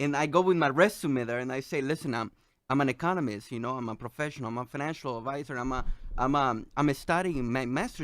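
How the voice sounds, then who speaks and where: In a Salvadoran accent, a man speaks at a very fast pace. The recording is very clean, with a silent background. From El Salvador. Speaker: economist and financial advisor guest. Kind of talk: radio interview, telling personal story. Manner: halting, many fillers and repetitions.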